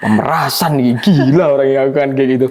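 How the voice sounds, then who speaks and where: A man's animated tone at a moderate pace, with noticeable background noise. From Java, Indonesia. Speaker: university student. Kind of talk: casual chat.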